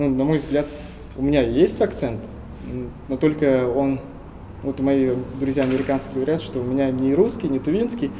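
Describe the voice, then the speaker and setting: Pausing long and often, a man with a fairly high pitch talks at a moderate pace with ordinary pitch variation. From Tuva, Russia. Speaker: linguist. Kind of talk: interview.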